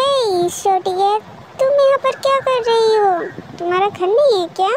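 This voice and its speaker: A woman does a put-on character voice. It is squeaky and extremely high-pitched. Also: moderate pace. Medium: read story.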